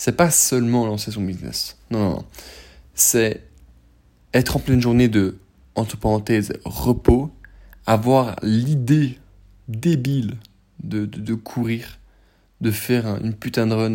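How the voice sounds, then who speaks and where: Recorded very cleanly over a silent background, a man with a medium pitch and a dark, mellow tone talks at a very slow pace with ordinary pitch variation. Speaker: podcaster. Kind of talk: casual monologue. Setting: in bed.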